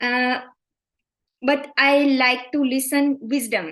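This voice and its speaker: At a fairly slow pace, a woman speaks in a high pitch with fairly even intonation. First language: Indian language, not English. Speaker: participant asking a question. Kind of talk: question in live Q&A. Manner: halting.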